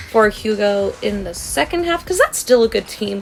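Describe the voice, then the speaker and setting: Her fairly high voice has an animated tone with very wide pitch swings. There is noticeable background noise behind the woman. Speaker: gaming YouTuber. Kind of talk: casual vlog commentary.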